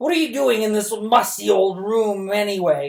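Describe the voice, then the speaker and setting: Using a put-on character voice, a man talks at a moderate pace in a croaky, high pitch with lively intonation. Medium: read story. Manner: menacing.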